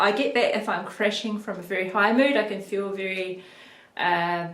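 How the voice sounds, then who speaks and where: With a New Zealand accent, a woman talks at a medium pitch with fairly even intonation, and audible room echo surrounds her voice. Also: moderate pace. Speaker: video blogger on mental health. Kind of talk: personal vlog monologue. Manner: halting, many ums.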